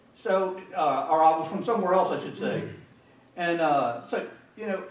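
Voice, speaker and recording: Against noticeable background noise and audible room echo, a man talks at a moderate pace with an American accent. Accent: country accent, noticeable up north. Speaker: pastor. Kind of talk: sermon. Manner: halting, repetitive.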